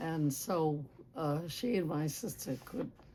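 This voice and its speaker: A somewhat breathy woman with a very deep, low pitch and a dark, mellow tone. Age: 80s+. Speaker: oral history interviewee. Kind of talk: oral history interview. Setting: public library.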